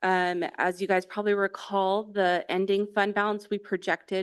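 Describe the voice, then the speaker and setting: A woman talks at a medium pitch against a quiet background. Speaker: school district finance officer. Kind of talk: budget report at board meeting. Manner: fast.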